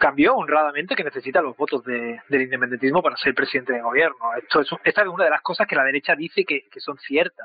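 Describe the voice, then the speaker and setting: This man speaks at a very fast pace. His pitch is fairly high for a man. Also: ordinary pitch variation, hardly any pauses. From Spain. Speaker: political analyst. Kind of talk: interview.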